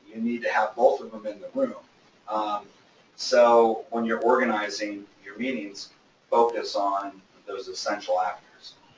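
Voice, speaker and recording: A man at a fairly slow pace with big swings in loudness, against noticeable background noise. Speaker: business speaker. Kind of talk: lecture. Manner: casual, many fillers.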